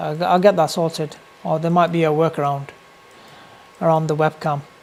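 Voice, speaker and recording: A man speaks in a British accent with a fairly high pitch and fairly even intonation, noticeable noise sitting in the background. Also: long, frequent pauses. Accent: UK. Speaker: day trader streamer. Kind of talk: live trading stream commentary. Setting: live stream with webcam. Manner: casual, filler-heavy.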